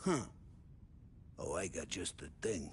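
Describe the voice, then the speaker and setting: A man puts on a loud, raspy character voice. Clear background noise can be heard behind him. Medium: video game. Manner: loud, chummy slang.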